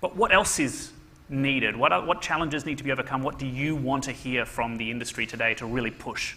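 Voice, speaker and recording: The speaker has an Australian accent. The delivery is very fast. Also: man, medium pitch for a man, ordinary pitch variation. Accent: Australian-sounding. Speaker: panel moderator. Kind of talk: panel discussion.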